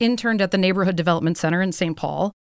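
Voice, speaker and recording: This is a woman with an American accent. Her voice sits at a medium pitch. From US Midwest. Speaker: company founder. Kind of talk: casual interview. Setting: studio.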